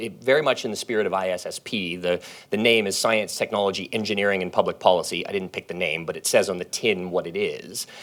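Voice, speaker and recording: Talking at a very fast pace, a man keeps to a fairly low pitch. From Canada. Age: 40s. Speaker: professor. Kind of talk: panel talk. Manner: casual, with fillers.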